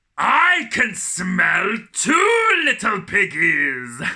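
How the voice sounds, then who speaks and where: Using a theatrical, put-on character voice, a man speaks at an extremely high pitch and a very slow pace. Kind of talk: children's storytime acting. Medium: read story. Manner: sly, theatrical menace.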